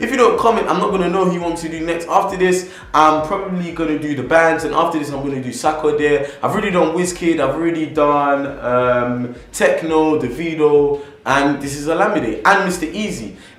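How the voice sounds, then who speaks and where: Amid noticeable background noise and audible room echo, a man with a fairly high pitch talks at a fairly quick pace with hardly any pauses and ordinary pitch variation. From England. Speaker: YouTuber, music biography narrator. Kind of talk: casual vlog intro; biographical narration. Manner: chatty, informal.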